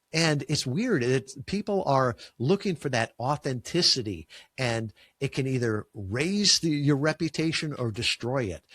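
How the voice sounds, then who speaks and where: Speaking fairly slowly with a Chicago accent, a man at a medium pitch uses lively intonation in a dry, close sound with no echo. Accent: Chicago, drops final g. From US Midwest, Chicago. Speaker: podcast guesting agency founder. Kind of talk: interview conversation. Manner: uses filler words.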